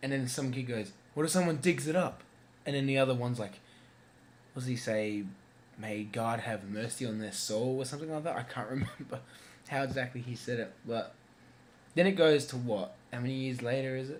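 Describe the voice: Fairly quick delivery with audible room echo. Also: man, medium pitch for a man, ordinary pitch variation.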